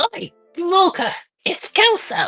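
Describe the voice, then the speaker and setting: A squeaky, put-on character voice sits at an extremely high pitch. Faint music plays in the background. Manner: calling out.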